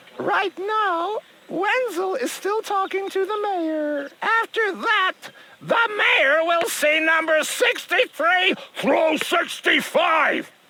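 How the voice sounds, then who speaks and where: The speech drags along very slowly. It is a put-on character voice pitched extremely high. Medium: video game. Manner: curt, dismissive.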